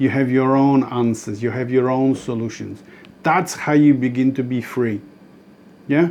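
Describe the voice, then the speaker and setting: With a non-native accent, a man speaks at a medium pitch and a moderate pace. His intonation stays fairly even. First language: not English. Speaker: spiritual author and dream interpreter. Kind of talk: spiritual talk to camera. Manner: halting, with many restarts.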